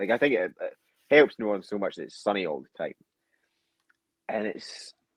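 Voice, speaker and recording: Scottish accent from a man at a fairly quick pace, big swings in loudness, dry, close sound with no echo. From Scotland. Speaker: football fan, podcast guest. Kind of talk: casual chat. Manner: animated.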